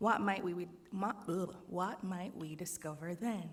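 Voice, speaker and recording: In a Jamaican accent, a woman speaks at a very slow pace. Her pitch is medium and her intonation fairly even. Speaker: speaker giving a reflective talk.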